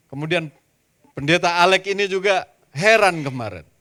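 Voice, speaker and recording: Here a man speaks in a Javanese accent with a high pitch. His tone is bright and sharp, and his pace is moderate. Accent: Javanese-accented Indonesian. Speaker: pastor. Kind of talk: sermon. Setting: church.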